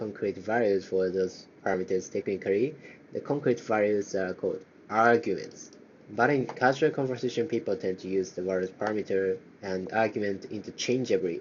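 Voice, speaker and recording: With a Japanese accent, a man of fairly low pitch talks at a moderate pace and ordinary pitch variation. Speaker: programming learner streamer. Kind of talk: live coding tutorial, reading docs aloud. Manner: halting, many fillers.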